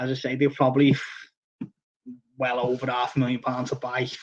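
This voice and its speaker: The speech races along at a very fast pace in a strong Liverpool accent. The intonation stays monotone and flat. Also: man. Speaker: koi fish seller and live-stream host. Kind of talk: casual live-stream chat. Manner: halting, many fillers and restarts.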